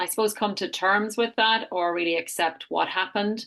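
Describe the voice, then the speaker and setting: A woman with an Irish accent speaks in a bright, sharp tone with ordinary pitch variation over a quiet background. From Ireland. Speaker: health retreat founder. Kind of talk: interview.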